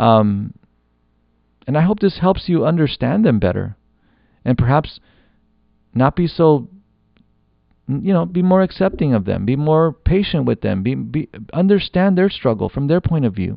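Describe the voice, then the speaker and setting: A man's fairly high pitch with very wide pitch swings, a moderate pace and long, frequent pauses. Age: 40s. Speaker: podcast host. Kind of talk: solo monologue podcast. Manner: halting, many fillers and restarts.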